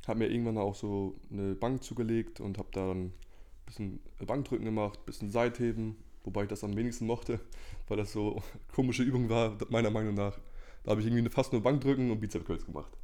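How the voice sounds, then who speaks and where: At a very fast pace, a man with medium pitch talks with fairly even intonation. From northern Germany (Lower Saxony, Cloppenburg). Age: 20s. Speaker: natural bodybuilder and student. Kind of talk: casual interview chat. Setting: in the same room, sharing one microphone.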